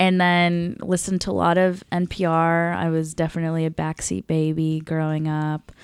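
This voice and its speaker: A woman with an American accent and an unremarkable speaking voice, fairly low in pitch, at a moderate pace with fairly even intonation and hardly any pauses. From small-town US, South Indian family. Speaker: comedian. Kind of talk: casual chat.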